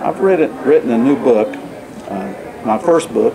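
Male speech, fairly slow, amid noticeable background noise. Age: 60s. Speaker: accountant, first-time author. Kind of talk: interview answer. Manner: hesitant, frequent fillers. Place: meeting room. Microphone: camera far.

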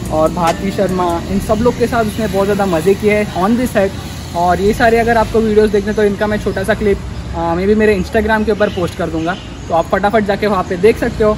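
Over noticeable background noise, a man speaks in a high voice at a moderate pace with fairly even intonation. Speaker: wildlife rescuer vlogger. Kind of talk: casual vlog chat. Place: garden. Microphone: camera far.

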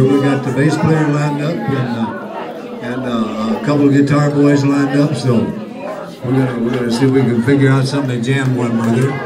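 Talking fairly quickly, a man keeps his pitch movement ordinary while clear background noise carries on. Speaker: open mic host. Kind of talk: stage announcement. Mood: relaxed, joking. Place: bar. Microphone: camera far.

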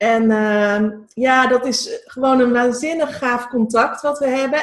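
Against a quiet background, a woman talks in a high voice. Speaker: entrepreneur, event organizer. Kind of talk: casual interview. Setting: video call. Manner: halting. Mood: cheerful, enthusiastic. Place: kitchen. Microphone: video call.

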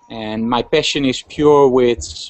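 Over a quiet background, the speaker talks with a Dutch accent and ordinary pitch variation. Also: man. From Netherlands. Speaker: fashion photographer. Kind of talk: casual interview. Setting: video call. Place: home room. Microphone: video call.

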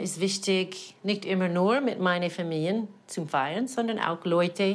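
In an American accent, a woman talks at a fairly slow pace. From American (Colorado), lives in Cham, Germany. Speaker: puppeteer. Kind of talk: interview answer. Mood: reflective, warm.

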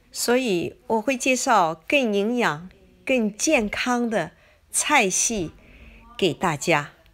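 Speaking at a very slow pace, a woman uses a fairly high pitch with very wide pitch swings. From China. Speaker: cooking video creator. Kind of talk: personal vlog monologue. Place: home room.

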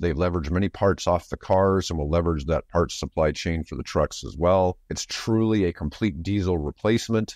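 A man speaks at a fairly quick pace in a low voice. The sound is dry and close with no echo, on a very clean recording with a silent background. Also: slightly mellow tone.

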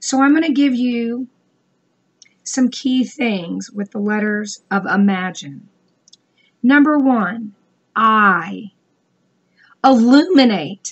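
A woman speaks very slowly in a fairly high pitch, somewhat breathy. Her pauses are long and frequent. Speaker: business coach vlogger. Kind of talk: motivational talk. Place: home room. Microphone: webcam.

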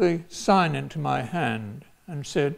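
The speaker is a man. He talks with an English accent. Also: quiet background. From England, London. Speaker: retired professor and former priest. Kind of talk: personal storytelling talk. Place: hall.

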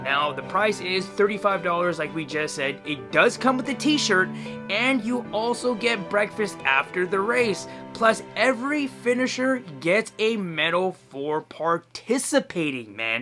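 A man speaks in a raised, projected voice at a fairly slow pace while music plays clearly in the background. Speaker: vlogger promoting a charity run. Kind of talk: casual vlog chat. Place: home room. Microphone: phone near.

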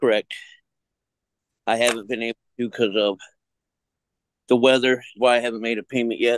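Amid light background noise, a man speaks in a monotone, flat voice with long, frequent pauses, the sound dry with no echo. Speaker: defendant. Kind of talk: court hearing. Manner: halting. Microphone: video call.

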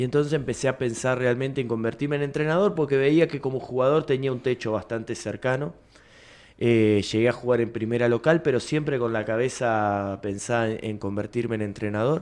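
His pitch varies in an ordinary way. This man speaks fairly quickly. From Buenos Aires province, Argentina. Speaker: basketball coach. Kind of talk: interview. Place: studio. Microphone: studio mic.

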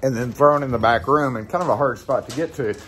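Light background noise sits behind a man's speech. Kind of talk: casual vlog chat. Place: shop. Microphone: phone near.

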